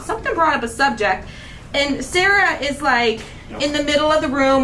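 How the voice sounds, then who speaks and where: Over noticeable background noise and audible room echo, a raised, projected voice moves at a fairly quick pace in an animated tone. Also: woman. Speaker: craft channel host. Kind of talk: casual chat. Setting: livestream. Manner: fast.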